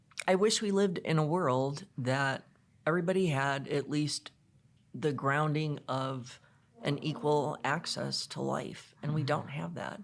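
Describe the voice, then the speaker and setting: A woman's very deep, low voice with an American accent, at a fairly slow pace and ordinary pitch variation. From Chicago, US Midwest. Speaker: guest speaker on women's leadership. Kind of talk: podcast interview.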